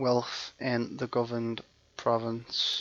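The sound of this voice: Pitched at a medium level, a man speaks with a fairly bright tone.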